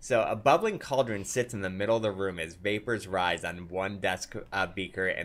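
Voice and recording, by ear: The intonation stays fairly even as the speaker reads aloud in a natural voice.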